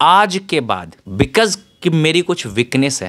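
A man speaks with a Bihari accent. His pitch swings very widely. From Bihar, India. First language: Bhojpuri (speaking Hindi). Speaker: author and tech entrepreneur; guest. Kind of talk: interview. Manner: Hindi-English code-switching. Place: home room. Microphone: handheld.

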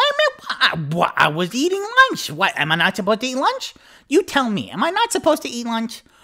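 A put-on character voice, raised and projected. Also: man, extremely high pitch for a man, moderate pace. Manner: brash, touchy, streetwise.

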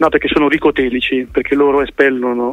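Noticeable background noise surrounds a man at a medium pitch. He talks at a fairly quick pace with fairly even intonation. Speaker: political activist and fruitarian nutrition advocate. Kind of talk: radio interview. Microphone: phone line with slight delay.

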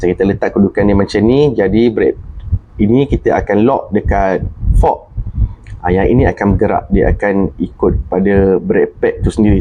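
Noticeable background noise runs throughout. Over it, a man speaks at a moderate pace. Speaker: motorcycle mechanic YouTuber. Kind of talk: tutorial. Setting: workshop, filmed on handset. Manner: casual, filler-heavy.

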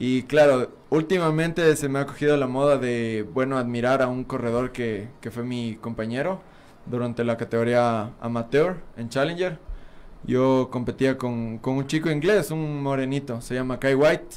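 Speaking at a fairly slow pace, a man with an unremarkable speaking voice keeps a medium pitch and ordinary pitch variation. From Ecuador, Pichincha (Quito area). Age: 20s. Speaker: BMX racer; guest. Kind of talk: interview. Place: studio. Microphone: studio mic.

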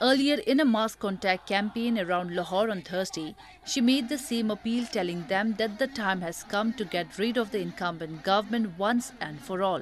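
A woman talks at a moderate pace in a normal speaking voice, fairly high in pitch with ordinary pitch variation. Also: hardly any pauses. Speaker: newsreader. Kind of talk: formal news bulletin reading. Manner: formal, measured, steady newsreader delivery.

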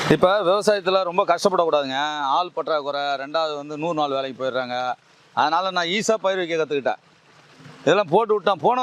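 A man talks with lively intonation. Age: 50s. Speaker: organic farmer. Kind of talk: casual explanatory talk.

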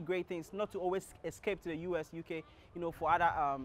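At a fairly quick pace, a man talks in a high pitch with a dry sound and no echo. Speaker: show host. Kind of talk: presenter intro to camera. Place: street. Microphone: lapel.

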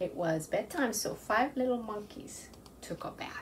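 A woman whispering.

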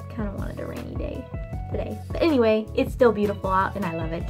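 A woman's voice with clear music in the background. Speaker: vlogger. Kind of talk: casual vlog chat. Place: home room. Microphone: webcam.

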